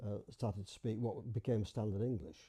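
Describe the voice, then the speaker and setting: His voice is somewhat breathy with a dark, mellow tone. The man speaks at a moderate pace, and the sound is dry and close with no echo. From Bradford, Yorkshire, England. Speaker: dialect society member. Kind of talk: interview answer.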